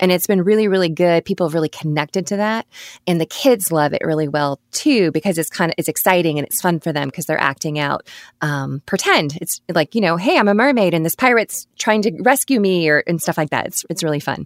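A woman with an American accent and a fairly low pitch talks at a fairly quick pace with lively intonation. The very clean recording has a silent background and a dry, close sound with no echo. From Alabama, US South. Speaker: photographer and studio owner. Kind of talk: casual interview chat. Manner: polished, enthusiastic.

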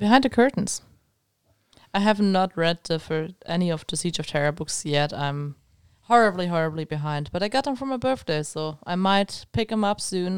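A woman speaks with a German accent. Her intonation is lively. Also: fairly low pitch for a woman, moderate pace, very clean recording, silent background. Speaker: podcast co-host. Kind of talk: casual chat.

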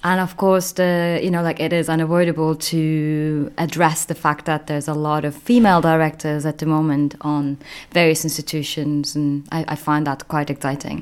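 Monotone, flat delivery at a moderate pace with hardly any pauses. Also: woman, very deep, low pitch for a woman. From Turkey. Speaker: arts organisation director.

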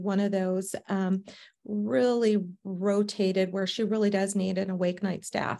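A woman with an American accent, medium pitch, moderate pace, a dark, mellow tone and monotone, flat intonation. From US South, Savannah, Georgia. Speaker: company founder, registered nurse. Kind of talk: interview.

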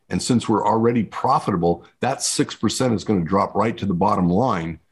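A man with an American accent talks in an ordinary speaking voice at a fairly low pitch and moderate pace against a quiet background. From New Mexico, US Southwest. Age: 60s. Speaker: screen printing business consultant. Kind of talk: interview.

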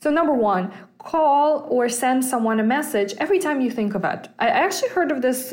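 A woman talks at a fairly quick pace in a Russian accent. Her intonation is lively. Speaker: personal finance podcast host. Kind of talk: casual solo podcast talk. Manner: hesitant, many fillers.

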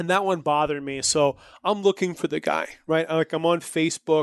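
Against a quiet background, a man with a Canadian accent and an ordinary speaking voice talks at a moderate pace, his fairly high pitch carrying fairly even intonation. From New Brunswick, Canada. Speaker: entrepreneur and marketer. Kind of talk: interview.

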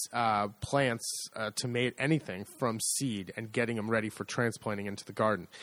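A man with an American accent at a moderate pace, in a very clean recording with a silent background. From United States. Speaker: podcast co-host, agriturismo owner. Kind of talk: casual chat.

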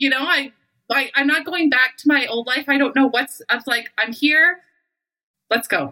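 A woman with a Western Canadian accent uses a raised, projected voice at a high pitch. Her tone is bright and sharp, her intonation fairly even, and her pace moderate. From Canada. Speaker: intimacy coach. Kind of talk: casual chat.

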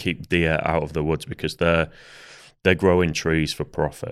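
A man speaks at a very deep, low pitch with a Yorkshire accent. The recording is very clean, with a silent background. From Yorkshire, northern England. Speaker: hunter. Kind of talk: casual chat. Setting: studio.

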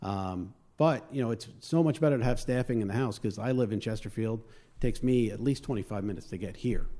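A man speaks very fast with a Long Island accent. His tone is dark and mellow. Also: medium pitch for a man, ordinary pitch variation, hardly any pauses. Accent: Long Island New York. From Long Island, New York. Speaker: fire lieutenant and volunteer. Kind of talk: casual interview chat.

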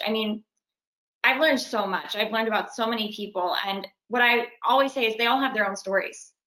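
A woman talks very fast in a Californian accent, her tone bright and sharp. Her pitch sits fairly high and varies in an ordinary way. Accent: Californian American English. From Los Angeles. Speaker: actress. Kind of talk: casual interview.

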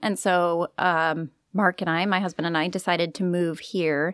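A woman with an unremarkable speaking voice and fairly low pitch uses ordinary pitch variation on a very clean recording with a silent background. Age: 30s. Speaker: bakery owner and pharmacist. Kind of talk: interview.

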